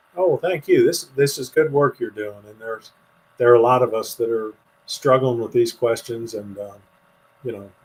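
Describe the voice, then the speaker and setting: A man's medium-pitched voice, somewhat breathy, carries an American accent. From US, western Pennsylvania. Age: 60s. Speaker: author. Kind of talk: interview conversation.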